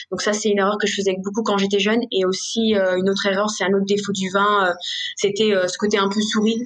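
A woman at a medium pitch talks at a fairly quick pace in a monotone, flat intonation, with noticeable background noise. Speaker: sommelier and restaurant owner. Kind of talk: interview. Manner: spontaneous, halting with fillers; passionate.

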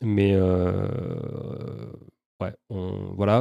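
A man speaks in a fairly low pitch with a dark, mellow tone. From Toulouse, southern France. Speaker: real estate investor. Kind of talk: interview.

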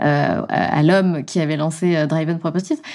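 The woman's tone is dark and mellow. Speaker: podcast host. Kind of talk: casual interview.

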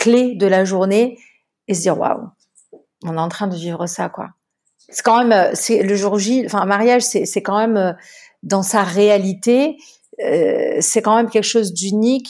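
A woman speaks at a medium pitch. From southern France, Marseille. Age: 40s. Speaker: wedding planner and entrepreneur. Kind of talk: interview.

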